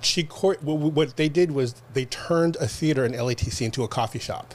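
Somewhat breathy male voice at medium pitch, moderate pace, and ordinary pitch variation. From Los Angeles, California. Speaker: producer and director. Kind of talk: casual interview.

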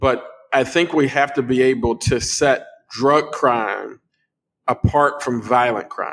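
A man talks at a very slow pace. His pitch is fairly high. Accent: American. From Chicago, US. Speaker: pastor and congressional candidate. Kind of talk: casual chat. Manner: halting.

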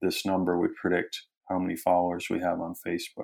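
Here a man speaks with an American accent at a fairly quick pace. The recording is very clean, with a silent background. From US Midwest, Wisconsin. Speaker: anthropology professor and author. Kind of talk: interview. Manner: hesitant, many fillers.

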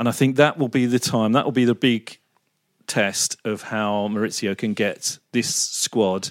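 An ordinary speaking voice moves at a fairly slow pace. The sound is dry and close with no echo, on a very clean recording with a silent background. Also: man. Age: 50s. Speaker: football pundit. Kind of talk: casual chat.

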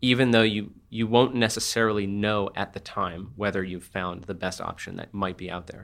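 A man with an American accent speaks in an unremarkable speaking voice, fairly low-pitched, at a moderate pace with hardly any pauses. His intonation stays fairly even while his loudness swings widely, on a very clean recording with a silent background. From New Jersey. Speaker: author. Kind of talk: interview.

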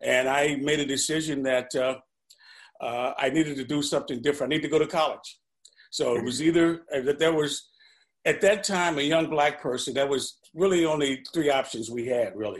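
A man with an American accent speaks in an unremarkable speaking voice, fairly high in pitch. His intonation is fairly even and his pace fairly quick against a quiet background. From St. Louis, US Midwest. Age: 60s. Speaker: retired pension fund manager. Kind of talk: casual interview.

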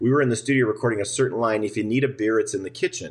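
A somewhat breathy man's voice with an American accent. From Minnesota, US Midwest. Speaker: musician and drummer. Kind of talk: casual interview.

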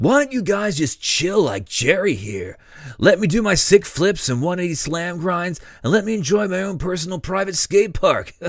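A man performs a put-on character voice at a high pitch. He keeps a moderate pace. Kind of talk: comic overacting. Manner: laid-back surfer-dude slang, mellow.

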